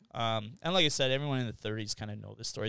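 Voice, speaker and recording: Talking at a very fast pace, a man with a Canadian accent uses a medium pitch. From Canada, Winnipeg. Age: 30s. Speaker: real estate agent. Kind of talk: casual chat.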